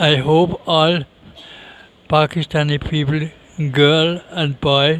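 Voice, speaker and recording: A man with a Danish accent speaks very slowly in a fairly high, monotone voice with flat intonation and long, frequent pauses. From Denmark. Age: 60s. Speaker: interviewee. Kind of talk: interview.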